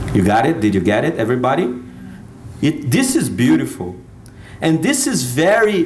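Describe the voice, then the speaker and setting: A man at a moderate pace with long, frequent pauses, very even loudness, and audible room echo. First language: Portuguese. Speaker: speaker. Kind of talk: talk to an audience. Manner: halting.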